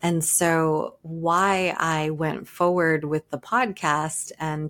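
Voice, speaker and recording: A woman's voice with a fairly low pitch. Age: 40s. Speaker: podcast host and entrepreneur coach. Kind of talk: solo podcast monologue.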